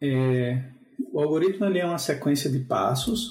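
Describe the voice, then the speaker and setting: Speaking at a fairly slow pace, a man with a fairly high pitch has a dark, mellow tone, a somewhat breathy quality and lively intonation. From Brazil, João Pessoa. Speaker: software engineer. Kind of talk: casual chat.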